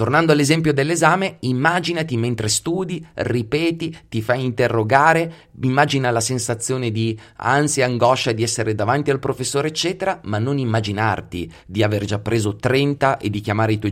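This man keeps a moderate pace with hardly any pauses. He uses a medium pitch and lively intonation. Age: 40s. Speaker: psychology podcast host. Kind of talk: solo podcast monologue.

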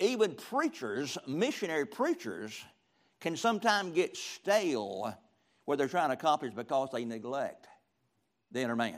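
A man talks at a moderate pace with very wide pitch swings, and the recording is very clean with a silent background. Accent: Southern US. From US South, rural middle Georgia. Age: 70s. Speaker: retired pastor, guest preacher. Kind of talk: sermon. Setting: church with audience.

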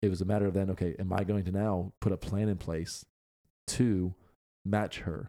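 A man at fairly low pitch, dark and mellow in tone, monotone and flat, at a moderate pace, with a dry, close sound with no echo on a very clean recording with a silent background. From Pennsylvania. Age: 30s. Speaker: podcast host. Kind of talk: casual chat.

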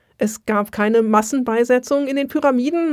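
In an unremarkable speaking voice, a woman speaks at a fairly slow pace with ordinary pitch variation. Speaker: Egyptologist and museum worker. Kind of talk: casual chat.

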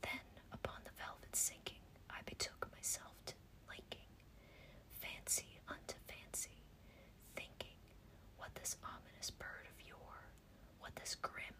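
A soothing whisper at a fairly slow pace, broken by long, frequent pauses, over noticeable background noise. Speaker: ASMR-style reader and podcast host. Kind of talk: whispered poetry reading for relaxation. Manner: soft, slow, hushed whisper, measured and soothing.

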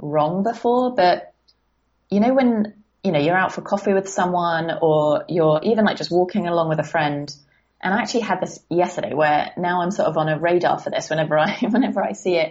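A woman with a southern English accent talks at a fairly quick pace. Her pitch is fairly low, with ordinary pitch variation. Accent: British southern English. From southern England. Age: 20s. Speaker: life coach. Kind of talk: casual interview chat. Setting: remote call.

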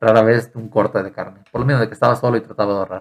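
This man speaks at a very fast pace. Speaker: student abroad. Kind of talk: casual chat.

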